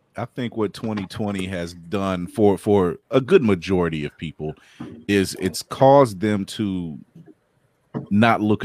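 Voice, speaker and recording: The man has an unremarkable speaking voice at a fairly low pitch, with ordinary pitch variation and a fairly slow pace. The recording is very clean with a silent background, and the sound is dry and close with no echo. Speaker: co-host. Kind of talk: casual chat.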